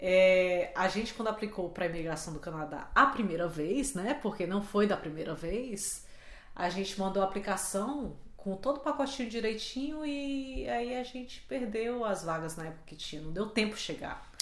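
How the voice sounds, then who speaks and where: An ordinary speaking voice from a woman, medium in pitch, with lively intonation at a moderate pace. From Brazil, Fortaleza. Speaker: podcast co-host. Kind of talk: casual chat.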